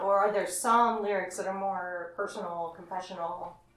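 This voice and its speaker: A woman talks at a moderate pace and a medium pitch. Noticeable background noise is present. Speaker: podcast host. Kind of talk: interview, casual chat. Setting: in band's practice space.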